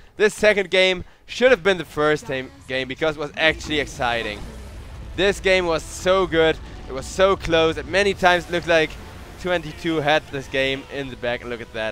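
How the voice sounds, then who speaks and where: Music plays behind a man whose pitch is fairly high and whose intonation is lively. His loudness swings widely. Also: moderate pace. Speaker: esports caster. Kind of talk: live commentary. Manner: animated.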